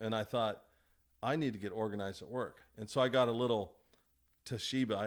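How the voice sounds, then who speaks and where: At a medium pitch and a fairly quick pace, a man talks with fairly even intonation in a very clean recording with a silent background. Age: 60s. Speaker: construction estimator. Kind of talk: casual chat. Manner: halting, with many restarts and fillers.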